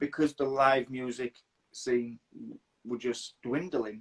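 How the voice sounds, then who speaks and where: The voice moves at a moderate pace with fairly even intonation. The sound is dry and close, with no echo. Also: man. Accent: Yorkshire. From northern England, Leeds, Yorkshire. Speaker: interviewer. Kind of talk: casual interview chat. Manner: halting, repeats words.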